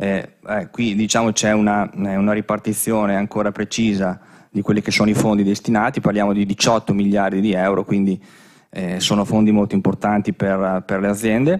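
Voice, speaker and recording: This man's voice is fairly low and stays flat and monotone. The background is quiet. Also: moderate pace. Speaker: business consultant; conference presenter. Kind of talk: conference presentation. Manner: halting, many fillers. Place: hall. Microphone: podium.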